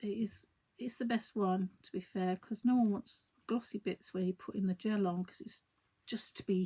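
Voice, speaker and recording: Somewhat breathy and dark, mellow in tone, the voice moves at a moderate pace with fairly even intonation. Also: woman. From London. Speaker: craft artist. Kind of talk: live craft tutorial. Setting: livestream. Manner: chatty, rambling.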